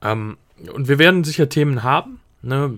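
This man's voice shows ordinary pitch variation. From Switzerland. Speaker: podcast co-host, student. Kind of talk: casual chat. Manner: halting, many fillers.

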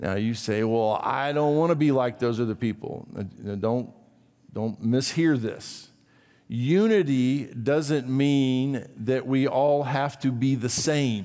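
Spoken at a very slow pace, the voice has a dark, mellow tone and ordinary pitch variation, with audible room echo. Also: man, medium pitch for a man. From Brazil. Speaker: pastor. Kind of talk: sermon.

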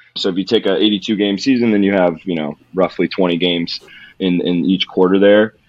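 A man with an American accent and an unremarkable speaking voice talks at a moderate pace in a fairly low pitch with fairly even intonation. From California, Modesto. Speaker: strength and conditioning coach. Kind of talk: casual interview.

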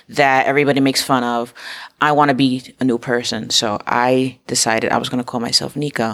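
A woman with an American accent, very deep and low in pitch, at a fairly quick pace. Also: fairly even intonation. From Harlem, New York City. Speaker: podcast host. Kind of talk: interview.

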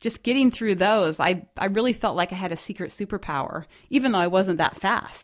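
At a moderate pace and medium pitch, a woman speaks in a plain, everyday voice with lively intonation on a very clean recording with a silent background. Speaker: running coach and podcast co-host. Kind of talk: casual chat.

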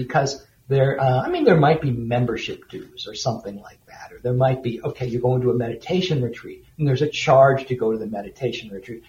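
At a fairly quick pace, a man with an unremarkable speaking voice and medium pitch talks with big swings in loudness. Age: 60s. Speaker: author and editor. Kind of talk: interview. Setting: remote call into studio.

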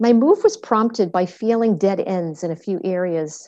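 The voice has an American accent and a dark, mellow tone. The background is quiet. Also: woman. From Massachusetts, Boston area (Medford). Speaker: functional medicine practitioner and podcast host. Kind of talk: scripted narration.

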